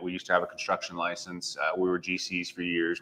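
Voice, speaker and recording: A man with a Western US accent, a bright, sharp tone and a fairly quick pace. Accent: General American (western US). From Las Vegas, Nevada. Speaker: real estate agent. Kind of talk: interview. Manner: casual.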